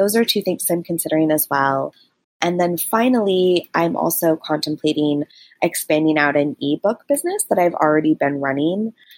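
A woman with a plain, everyday voice speaks at a moderate pace and very even loudness. Her fairly low pitch shows ordinary variation, and the sound is dry and close with no echo. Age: 30s. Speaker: caller, digital marketer. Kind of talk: voicemail question.

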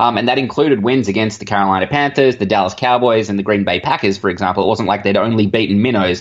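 An Australian-accented man talks very fast at a fairly low pitch with ordinary pitch variation, very even loudness and hardly any pauses. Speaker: sports blogger. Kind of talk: interview. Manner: hesitant, many fillers.

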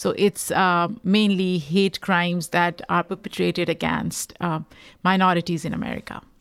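In a Pakistani accent, a woman speaks at a moderate pace with a fairly low pitch and monotone, flat intonation, on a very clean recording with a silent background. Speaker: podcaster and rights activist. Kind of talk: interview conversation.

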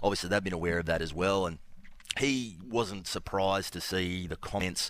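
At a very fast pace, a man with a very deep, low pitch talks with ordinary pitch variation. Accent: Australian. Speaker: sports journalist. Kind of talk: sports radio chat.

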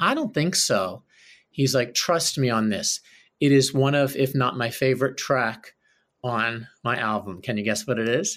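The man speaks at a fairly slow pace. His pitch is medium with ordinary variation. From Philadelphia. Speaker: Broadway actor and singer. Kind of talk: casual interview. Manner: animated.

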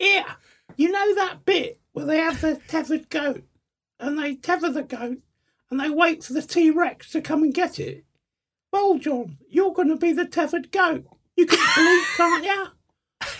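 A put-on character voice in an Essex accent, pitched extremely high. The pace is moderate.

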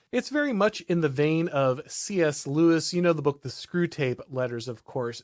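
A man with a normal speaking voice talks at a moderate pace. His fairly high pitch carries lively intonation. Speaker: podcast host. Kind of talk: casual discussion. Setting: live stream.

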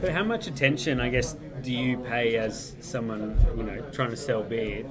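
Over noticeable background noise, a man with a medium-pitched voice speaks at a fairly slow pace. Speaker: blogger. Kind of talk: casual chat.

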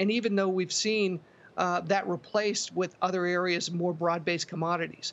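This man's high-pitched voice moves at a moderate pace, with very even loudness and a flat, monotone intonation. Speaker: ETF analyst and CEO. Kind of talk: interview on finance.

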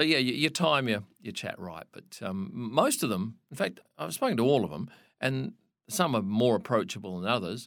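A man with an Australian accent speaks at a medium pitch and a moderate pace. His pitch swings very widely, and his loudness rises and falls sharply. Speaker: motorsport photographer. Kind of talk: interview.

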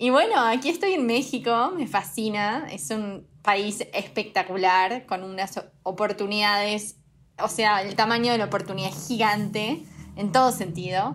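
Speaking in a normal speaking voice, a woman talks at a fairly slow pace. Her pitch is medium, with ordinary pitch variation. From Uruguay. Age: 20s. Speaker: fashion startup co-founder. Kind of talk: casual interview.

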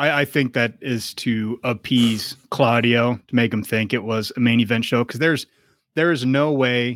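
Recorded very cleanly against a silent background with a dry, close sound and no echo, a man speaks in a plain, everyday voice at medium pitch, with ordinary pitch variation and a moderate pace. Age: 40s. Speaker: wrestling podcast co-host. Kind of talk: casual chat.

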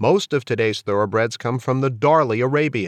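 Against a quiet background, a man talks at a moderate pace and medium pitch, with a dry, close sound and no echo. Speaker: podcast host. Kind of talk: podcast interview.

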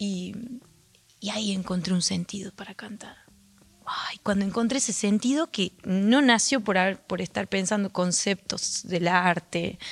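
Speaking at a fairly slow pace, a woman uses an unremarkable speaking voice at a medium pitch with fairly even intonation. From Argentina, Andalgalá, Catamarca. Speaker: folk singer. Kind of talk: radio interview. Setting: radio studio auditorium.

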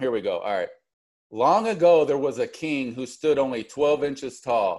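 Against a quiet background, a man with an unremarkable speaking voice talks at a moderate pace, with fairly high pitch and lively intonation. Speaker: podcast host. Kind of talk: casual interview chat.

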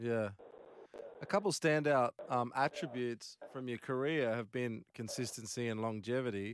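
Recorded very cleanly against a silent background, a man with an Australian accent comes through in a dry, close sound with no echo. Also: medium pitch for a man, ordinary pitch variation, moderate pace. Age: 40s. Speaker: radio co-host. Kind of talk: casual interview.

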